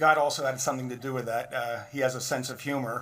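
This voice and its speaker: Talking at a very fast pace, a man keeps a monotone, flat intonation. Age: 60s. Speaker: physician and guest speaker. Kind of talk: speech at benefit dinner. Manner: informal, conversational.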